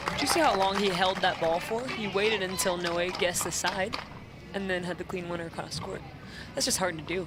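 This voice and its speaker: Noticeable background noise behind a fairly quick pace. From Brazil. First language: Portuguese. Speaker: sports commentator. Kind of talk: live commentary. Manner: animated.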